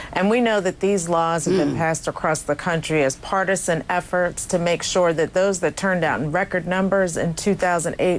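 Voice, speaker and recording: Speaking at a moderate pace and a medium pitch, the woman has a plain, everyday voice. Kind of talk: interview answer, advocacy. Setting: studio, remote video interview.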